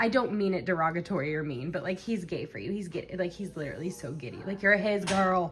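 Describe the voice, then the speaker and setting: Speaking at a very fast pace with hardly any pauses, a woman uses a medium-pitched, somewhat breathy voice with ordinary pitch variation. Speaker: tarot reader. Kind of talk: tarot reading for a friend. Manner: fast, filler-heavy; shaky voice.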